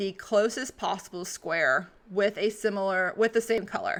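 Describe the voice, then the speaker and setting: In a very clean recording with a silent background, a woman with a medium pitch and ordinary pitch variation speaks in a bright, sharp tone. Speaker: craft tutorial streamer. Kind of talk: tutorial. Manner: fast.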